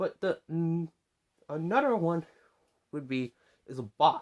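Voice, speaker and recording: Recorded with a dry, close sound and no echo, a man speaks at a high pitch and moderate pace with very wide pitch swings. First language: not English. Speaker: YouTuber. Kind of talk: opinion monologue. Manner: halting.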